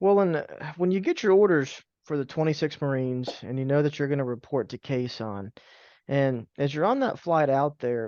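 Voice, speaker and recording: A man with an unremarkable speaking voice at a fairly high pitch and moderate pace, lively in intonation, the sound dry and close with no echo over a quiet background. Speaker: oral history interviewer. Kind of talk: interview questions.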